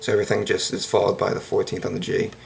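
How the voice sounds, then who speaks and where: Clear music plays in the background as a man speaks. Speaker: guitar teacher. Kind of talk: tutorial. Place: home room. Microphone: webcam.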